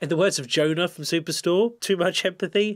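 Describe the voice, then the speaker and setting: A man with a British accent talks at a fairly quick pace. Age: 30s. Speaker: psychiatrist and YouTuber; YouTuber. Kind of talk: reaction video commentary. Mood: warm, wry. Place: home room.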